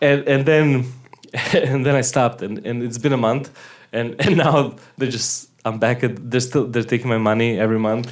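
At a moderate pace and medium pitch, this man uses an ordinary speaking voice with fairly even intonation. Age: 30s. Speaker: podcast co-host, musician. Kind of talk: casual banter. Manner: joking, playful.

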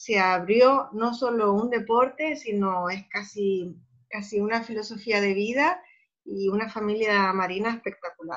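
Here is a woman at a medium pitch. Her pitch varies in an ordinary way. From Spain, Cádiz (Andalusia). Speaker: environmental educator and underwater freediving photographer. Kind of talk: interview. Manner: halting, frequent repetitions.

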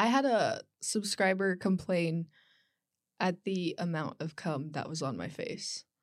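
A woman with a plain, everyday voice speaks at a fairly slow pace and medium pitch, with ordinary pitch variation, on a very clean recording with a silent background. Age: 20s. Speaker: online adult content creator and student. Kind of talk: casual chat.

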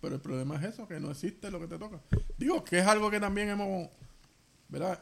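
A man with a high pitch and ordinary pitch variation talks at a very fast pace broken by long, frequent pauses. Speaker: podcast co-host. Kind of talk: casual chat.

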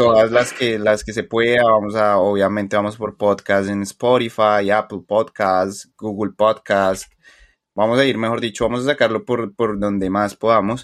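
Here a man talks with a Colombian accent in a fairly low voice. His intonation is monotone and flat, and his pace is fairly slow. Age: 20s. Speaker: podcast co-host. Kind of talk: casual chat.

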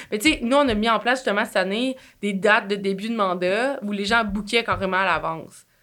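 A woman's bright, sharp voice at medium pitch and a fairly quick pace, with ordinary pitch variation, in a very clean recording with a silent background. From Quebec. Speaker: marketing agency entrepreneur. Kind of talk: casual interview.

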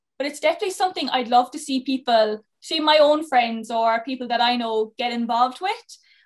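Speech moves at a fairly quick pace. The pitch rises and falls in an ordinary way. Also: woman, high pitch for a woman. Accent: Cork. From Ireland, Cork. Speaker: podcast co-host and youth mentor. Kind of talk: podcast interview.

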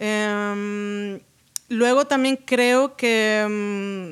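A woman speaks with fairly even intonation. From Canary Islands, Spain. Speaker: sound designer and singer. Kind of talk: casual chat.

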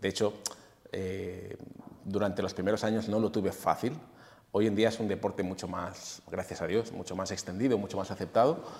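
At a moderate pace, a man with an unremarkable speaking voice talks at a fairly low pitch and with fairly even intonation. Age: 40s. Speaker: fitness coach and former bodybuilder. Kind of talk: casual interview.

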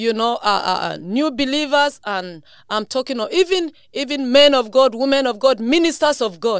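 The voice sounds animated, with lively intonation. The recording is very clean, with a silent background. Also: woman. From Nigeria. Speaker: bishop and missionary. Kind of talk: testimony and preaching.

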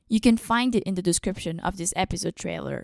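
A woman with an unremarkable speaking voice talks at medium pitch with lively intonation. The recording is very clean, with a silent background and a dry, close sound with no echo. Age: 20s. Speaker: podcast host, filmmaking student. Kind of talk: scripted podcast introduction.

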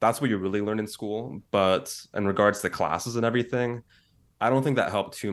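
A man talks at a very fast pace with an American accent. His pitch variation is ordinary, and the background is quiet. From San Francisco Bay Area, US. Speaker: content creator. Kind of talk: casual chat.

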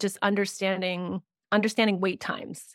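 A woman with a Canadian accent speaks at a medium pitch in a flat monotone. The recording is very clean with a silent background, and the sound is dry and close with no echo. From Canada. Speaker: grant writing consultant. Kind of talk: interview conversation.

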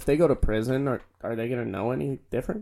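Racing along at a very fast clip, this voice carries a dark, mellow tone. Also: man. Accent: American. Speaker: podcast host. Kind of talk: casual banter podcast. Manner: crude, joking.

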